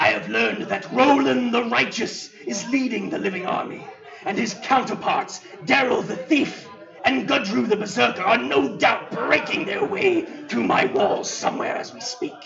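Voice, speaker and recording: A man puts on a character voice with a high pitch. He speaks at a moderate pace, with a slight echo. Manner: commanding, scheming.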